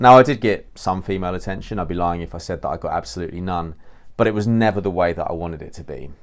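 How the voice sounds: The speech comes at a fast pace with ordinary pitch variation, on a very clean recording with a silent background. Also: man.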